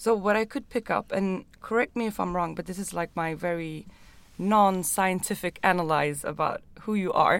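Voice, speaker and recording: A woman with a Swedish accent speaks at a moderate pace and a medium pitch. Her pitch varies in an ordinary way, and the recording is very clean with a silent background. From Stockholm, Sweden. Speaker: podcast host, urban planner. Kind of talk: interview. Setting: small studio room.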